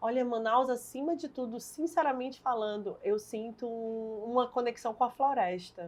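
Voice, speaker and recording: A woman talks at a moderate pace with hardly any pauses, her high pitch showing ordinary variation. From Brazil, Fortaleza, Ceará. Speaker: politician, party leader and lawyer. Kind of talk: interview.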